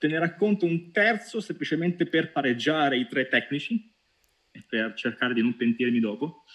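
A man's fairly high voice makes very wide pitch swings and big swings in loudness. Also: moderate pace. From Italy, Pescara (Abruzzo). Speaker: data science team leader. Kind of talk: interview. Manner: halting, many repetitions.

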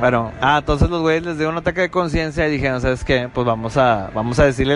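Noticeable background noise sits behind a man speaking at a very fast pace. His voice is fairly high, with ordinary pitch variation. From Monterrey, Mexico. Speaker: podcast host. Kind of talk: casual chat. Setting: apartment recording. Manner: animated.

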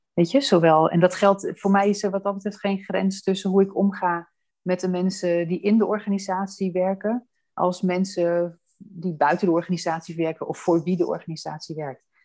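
The woman's tone is dark and mellow, at a medium pitch. Her intonation stays fairly even. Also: moderate pace. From Amsterdam, Netherlands. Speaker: housing association director. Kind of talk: interview. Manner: hesitant with fillers.

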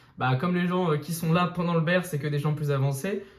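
Audible room echo follows a man who talks at a moderate pace with fairly even intonation. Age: 20s. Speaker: crypto YouTuber. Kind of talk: casual interview.

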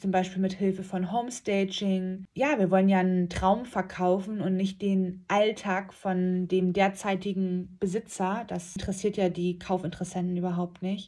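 A woman speaks at a medium pitch and moderate pace, with hardly any pauses and monotone, flat intonation. Her voice is somewhat breathy with a dark, mellow tone, on a very clean recording with a silent background. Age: 30s. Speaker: real estate agent and podcast host. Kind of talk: casual monologue.

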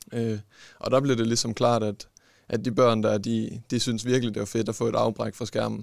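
This man speaks at a moderate pace and medium pitch, with monotone, flat intonation. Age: young. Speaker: sports scientist and esports coach. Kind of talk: interview. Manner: halting.

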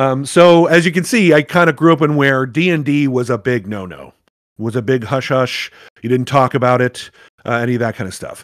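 With an American accent, a man speaks at a moderate pace and medium pitch, using an unremarkable speaking voice with ordinary pitch variation. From US South. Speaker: game master and actor. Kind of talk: casual chat.

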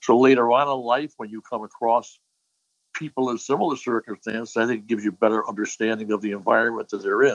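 A man with an American accent at a very fast pace, fairly even intonation, and a dry, close sound with no echo. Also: medium pitch for a man. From Hartford, Connecticut (north end). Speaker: retired police chief. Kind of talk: interview.

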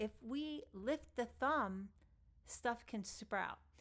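A woman speaks at a very slow pace. Her pitch is fairly high, with ordinary pitch variation. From New York, Long Island. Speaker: podcast host and yoga teacher. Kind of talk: solo talk on yoga philosophy.

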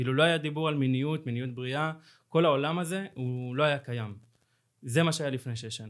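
A man talks at a fairly quick pace and a fairly high pitch, with ordinary pitch variation. His loudness swings widely on a very clean recording with a silent background. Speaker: co-founder of a social movement. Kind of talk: interview. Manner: halting.

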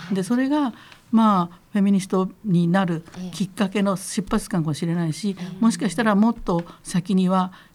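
Somewhat breathy, this woman's voice sits at medium pitch, with ordinary pitch variation and a moderate pace. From Kitakyushu, Fukuoka, Japan. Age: 70s. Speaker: feminist lawyer. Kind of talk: interview, conversational talk. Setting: radio studio.

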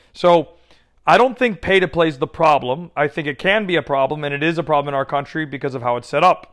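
With an American accent, a man talks at a very fast pace, using a fairly high pitch and ordinary pitch variation. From United States. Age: 30s. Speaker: podcast host and youth soccer coach. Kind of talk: solo podcast monologue.

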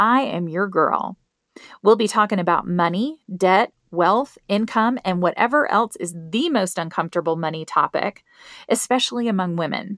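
A woman with a Southern US accent speaks at a medium pitch in an upbeat tone with lively intonation. The recording is very clean and dry, close with no echo and a silent background. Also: moderate pace. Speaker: financial coach podcast host. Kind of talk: scripted promotional intro and money talk. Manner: upbeat, friendly, humorous.

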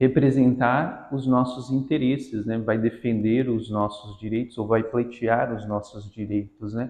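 This man has an unremarkable speaking voice, medium in pitch, with fairly even intonation and a fairly slow pace. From Brazil, Guarujá (São Paulo coast). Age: 20s. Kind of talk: interview.

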